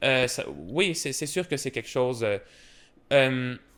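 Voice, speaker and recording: Speaking at a fairly slow pace, the man has a medium pitch. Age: 20s. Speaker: polyglot linguist. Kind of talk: podcast interview. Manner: halting, many fillers and repetitions.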